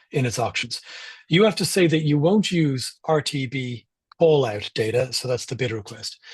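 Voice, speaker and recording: A man's somewhat breathy, medium-pitched voice with an Irish accent. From Ireland. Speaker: privacy campaigner and speaker. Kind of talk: talk with slides. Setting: live online event.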